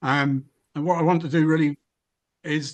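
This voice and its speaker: A man with a Welsh accent, speaking at a moderate pace. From Wales. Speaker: webinar speaker on environmental policy. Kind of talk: webinar talk. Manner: hesitant, many fillers.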